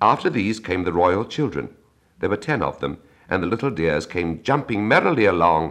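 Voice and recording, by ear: The voice is natural, reading aloud. Its intonation stays lively throughout.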